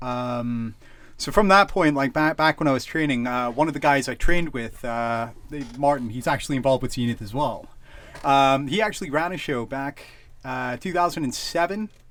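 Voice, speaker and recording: With a Canadian accent, a man speaks at a moderate pace and a fairly high pitch, his pitch varying in an ordinary way. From Canada. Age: 30s. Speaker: wrestling promoter. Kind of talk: casual chat. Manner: halting, many fillers.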